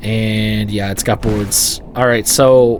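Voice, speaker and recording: A man's fairly even intonation and medium pitch come through noticeable background noise. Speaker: gaming YouTuber. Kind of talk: gameplay commentary. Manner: halting, stumbling over words; casual, conversational.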